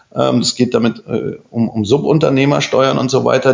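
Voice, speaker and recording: Behind a man speaking at a moderate pace there is noticeable background noise. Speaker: architect. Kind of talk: casual chat. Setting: office.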